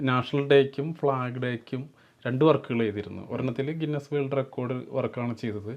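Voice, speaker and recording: The man has a normal speaking voice with fairly even intonation. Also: medium pitch for a man. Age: 50s. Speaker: sculptor. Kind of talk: interview. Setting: at his home.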